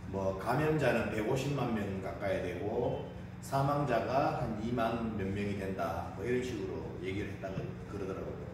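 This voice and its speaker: A man's fairly low voice with ordinary pitch variation at a fairly slow pace, in strong room echo and noticeable background noise. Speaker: table tennis coach. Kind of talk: casual vlog chat. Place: gym. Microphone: camera far.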